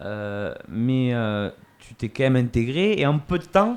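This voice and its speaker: His pitch swings very widely as a man speaks at a medium pitch. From Montauban area, France. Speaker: podcast host. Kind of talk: podcast interview.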